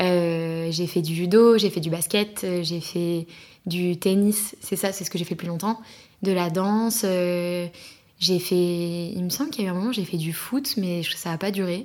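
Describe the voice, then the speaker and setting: In a normal speaking voice, a woman talks at a fairly slow pace with a fairly low pitch and fairly even intonation. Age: 20s. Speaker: podcast guest. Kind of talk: casual chat.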